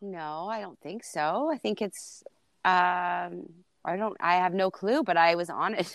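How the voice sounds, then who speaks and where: Over a quiet background, a woman with a plain, everyday voice speaks fairly slowly at a medium pitch with ordinary pitch variation. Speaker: TikTok creator. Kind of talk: casual chat. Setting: video call.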